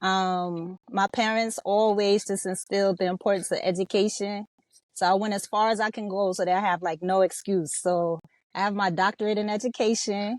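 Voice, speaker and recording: A woman with an unremarkable speaking voice talks at a moderate pace in a medium pitch, her intonation fairly even, on a very clean recording with a silent background and a dry, close sound with no echo. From Los Angeles, California. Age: 50s. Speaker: rapper and hip hop educator. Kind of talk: podcast interview.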